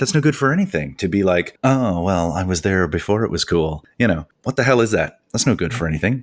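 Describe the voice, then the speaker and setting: A man with a Canadian accent uses a normal speaking voice with lively intonation at a fairly quick pace, on a very clean recording with a silent background. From Canada. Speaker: podcast host and author, teacher. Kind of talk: casual interview chat.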